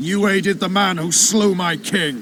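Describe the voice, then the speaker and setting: Growling in a put-on character voice, the speaker keeps a moderate pace and ordinary pitch variation over clear background noise. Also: man. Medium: video game. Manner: gruff, crude.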